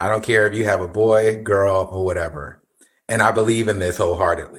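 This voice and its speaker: In a very clean recording with a silent background, a man with an unremarkable speaking voice talks at a moderate pace with a fairly low pitch. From New Jersey. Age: 50s. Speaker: podcast guest. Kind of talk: casual chat.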